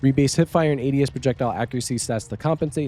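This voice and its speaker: A man rattles along at a very fast pace, his pitch varying in an ordinary way, while music plays in the background. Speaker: gaming news YouTuber. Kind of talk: reading patch notes with casual commentary.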